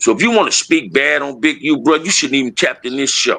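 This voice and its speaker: Animated in tone, a man with a fairly high pitch talks at a fairly quick pace, his pitch swinging very widely. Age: 60s. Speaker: former gang member and youth mentor. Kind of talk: live stream conversation. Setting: live video stream.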